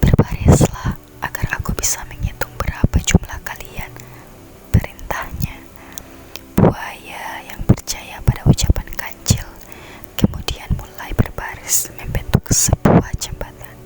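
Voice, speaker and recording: A whisper moves at a fairly slow pace with noticeable background noise around it. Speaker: ASMR creator. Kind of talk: fairy tale reading. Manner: whispered.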